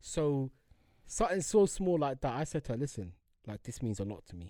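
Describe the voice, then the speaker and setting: In a London accent, a man with a dark, mellow tone swings his pitch very widely, recorded very cleanly against a silent background. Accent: London Multicultural English. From London (Harlesden). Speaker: podcast co-host. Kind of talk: casual chat.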